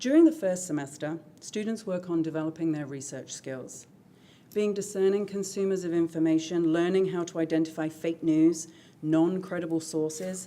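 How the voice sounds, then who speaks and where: In a British accent, a woman with a dark, mellow tone and fairly low pitch speaks at a moderate pace with fairly even intonation. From Britain. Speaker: high school English teacher. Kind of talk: presentation to school board. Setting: school board meeting. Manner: formal.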